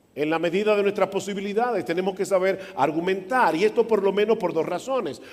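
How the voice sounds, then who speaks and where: A high-pitched man with ordinary pitch variation over noticeable background noise. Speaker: pastor. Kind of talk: sermon. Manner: soft-spoken.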